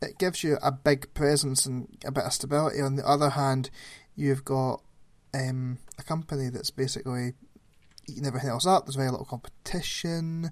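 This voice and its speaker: A man with an unremarkable speaking voice and a fairly high pitch talks at a moderate pace. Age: 30s. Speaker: podcast co-host. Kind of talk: casual chat.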